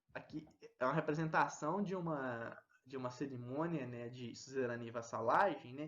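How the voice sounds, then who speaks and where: A man's voice at a moderate pace and medium pitch, an ordinary speaking voice with ordinary pitch variation. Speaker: teacher. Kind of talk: lecture.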